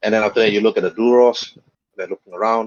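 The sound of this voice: Speaking fast with fairly even intonation, a man with a fairly low pitch is heard in a dry, close recording with no echo.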